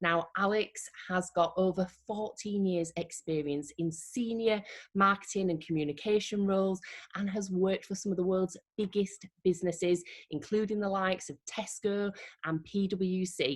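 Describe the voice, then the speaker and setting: Here a woman has an unremarkable speaking voice at a medium pitch. She moves at a moderate pace. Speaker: interviewer. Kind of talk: interview introduction. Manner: upbeat.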